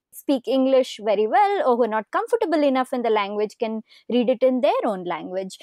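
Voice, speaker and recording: At a moderate pace, a woman speaks with a Kannada accent in a high voice with a dark, mellow tone, and the sound is dry and close with no echo. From southern India, Karnataka (city-raised). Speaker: podcast host. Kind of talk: interview conversation.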